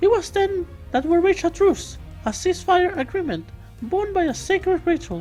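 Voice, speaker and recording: With music in the background, a squeaky, female-sounding put-on character voice talks at a moderate pace with an extremely high pitch. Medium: game stream. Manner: formal, stiff alien phrasing.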